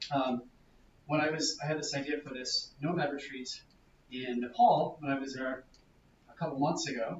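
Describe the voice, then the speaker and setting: Long pauses come often. The pitch varies in an ordinary way. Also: man, fairly high pitch for a man. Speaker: workshop presenter on growth hacking. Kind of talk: workshop presentation. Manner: fast.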